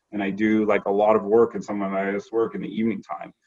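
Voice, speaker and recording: An unremarkable speaking voice with a Canadian accent. The pace is moderate. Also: man. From Canada (Toronto area). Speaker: corporate lawyer. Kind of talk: casual interview.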